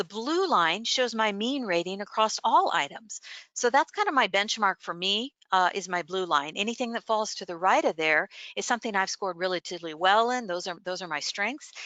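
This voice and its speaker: A woman of medium pitch speaks at a fairly quick pace with lively intonation. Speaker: workshop presenter. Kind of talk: presentation. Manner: fast; hesitant, many fillers.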